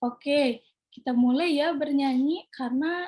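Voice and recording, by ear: A woman with a high, dark, mellow voice uses ordinary pitch variation.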